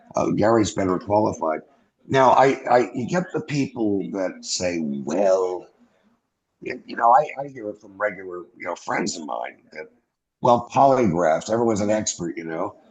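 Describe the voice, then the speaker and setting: Speaking with an American accent, a man with a normal speaking voice and fairly low pitch moves at a moderate pace, with lively intonation and big swings in loudness. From US Northeast (New York). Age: 60s. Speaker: former airman, UFO witness. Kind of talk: interview.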